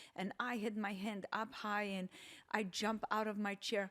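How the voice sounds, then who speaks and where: Her intonation monotone and flat, a woman speaks with a slight Polish accent. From Poland. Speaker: podcast guest, host's mother. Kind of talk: casual chat. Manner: hesitant, with fillers.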